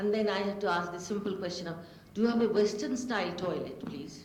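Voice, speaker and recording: A woman speaks at a medium pitch with ordinary pitch variation, with audible room echo and noticeable background noise. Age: 70s. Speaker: panel speaker. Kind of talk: panel talk.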